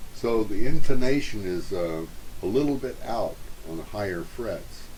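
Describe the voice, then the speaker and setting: A man talks at a moderate pace with lively intonation and big swings in loudness. The room echo is audible. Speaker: ukulele reviewer. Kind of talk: product review. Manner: hesitant with fillers.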